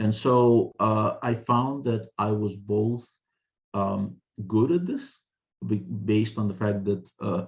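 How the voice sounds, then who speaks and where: Fairly low male pitch, somewhat breathy, at a very slow pace with ordinary pitch variation. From Ukraine, Russian-speaking part. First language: Russian. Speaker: author and translator. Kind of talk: interview. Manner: frequent word repetitions and fillers.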